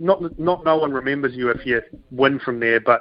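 In a New Zealand accent, a man speaks at medium pitch with ordinary pitch variation. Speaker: professional golfer. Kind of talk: radio interview.

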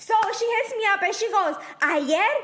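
Amid noticeable background noise, a woman speaks at a fairly slow pace with very wide pitch swings. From El Salvador. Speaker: podcast co-host. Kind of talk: casual chat. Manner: animated.

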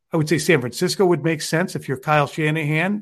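Against a quiet background, a man with a plain, everyday voice speaks at a moderate pace with fairly even intonation. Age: 50s. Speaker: sports journalist. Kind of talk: casual chat.

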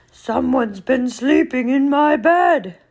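A high-pitched put-on character voice at a fairly slow pace

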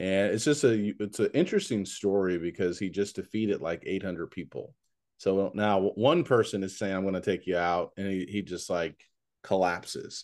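Against a quiet background, a man talks in an unremarkable speaking voice at fairly low pitch, a moderate pace and ordinary pitch variation. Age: 40s. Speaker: podcast host and preacher. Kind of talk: podcast interview.

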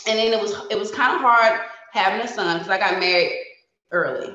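Speaking at a fairly quick pace with an American accent, a woman is heard with audible room echo. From New Jersey, near Philadelphia. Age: 40s. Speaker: hairstylist and reality TV contestant. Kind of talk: casual interview.

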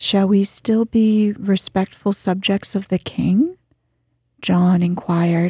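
A woman speaks very slowly in a dark, mellow, somewhat breathy voice with a dramatic, soothing tone. Her loudness stays very even, her intonation fairly even, and the sound is dry and close with no echo. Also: medium pitch for a woman. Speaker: audiobook narrator. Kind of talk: literary audiobook reading, bedtime story narration. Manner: soft, slow, soothing, calm; gently dramatic, voicing characters.

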